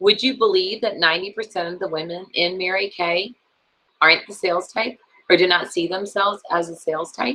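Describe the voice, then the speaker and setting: A woman speaks in an unremarkable speaking voice at a medium pitch. Her pitch varies in an ordinary way, and her pace is moderate. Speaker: sales trainer. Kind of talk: training session.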